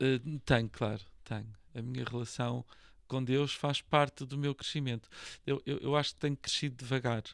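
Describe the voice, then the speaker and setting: In a very clean recording with a silent background, a man speaks at medium pitch. His pace is moderate and his intonation fairly even. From Portugal, Lisbon. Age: 60s. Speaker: real estate association president and broker. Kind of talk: podcast interview. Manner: hesitant, many fillers and repetitions.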